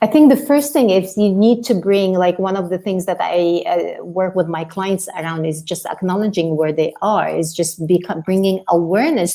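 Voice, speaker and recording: Medium pitch from a woman at a moderate pace, ordinary pitch variation, noticeable background noise. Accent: non-native. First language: not English. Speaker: life coach. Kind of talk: podcast interview.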